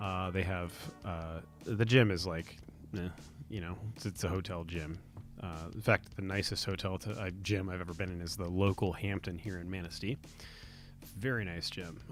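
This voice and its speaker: Here a man speaks with a very deep, low pitch and fairly even intonation at a moderate pace. Long, frequent pauses break up his speech. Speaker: podcaster. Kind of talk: casual monologue. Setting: home recording at night. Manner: soft-spoken. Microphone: close to the mic.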